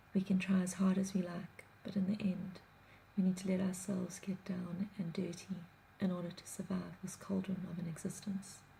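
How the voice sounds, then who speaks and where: Over noticeable background noise, a soft-spoken woman talks at a medium pitch. Her intonation is flat and monotone. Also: moderate pace. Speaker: blogger. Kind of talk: reading aloud.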